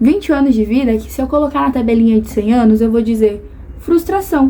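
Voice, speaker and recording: Through noticeable background noise, a woman talks fairly quickly at a fairly high pitch with lively intonation. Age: 20s. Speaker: vlogger. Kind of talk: personal vlog monologue.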